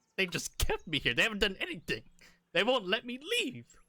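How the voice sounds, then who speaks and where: Someone uses a put-on character voice, raised and projected. The pace is fairly quick. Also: man, high pitch for a man. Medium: actual play. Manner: frantic, pleading.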